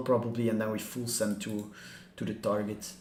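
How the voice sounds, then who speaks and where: A man at a moderate pace, with audible room echo and music in the background. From Belgium, Flemish part. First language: Dutch (Flemish). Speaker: crypto trading streamer. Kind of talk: livestream chart analysis. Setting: livestream. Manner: casual, filler-heavy.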